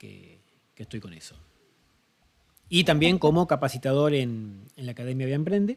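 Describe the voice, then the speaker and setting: Here a man has a normal speaking voice. He moves at a moderate pace with ordinary pitch variation. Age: 40s. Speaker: marketing agency founder and mentor. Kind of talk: interview.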